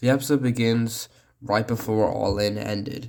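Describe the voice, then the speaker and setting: A man speaks in a monotone with flat intonation. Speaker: cartoon reviewer. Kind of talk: video review.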